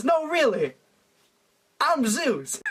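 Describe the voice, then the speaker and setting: The man is doing a put-on character voice. It reaches an extremely high pitch. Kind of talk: comic overacting. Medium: solo performance.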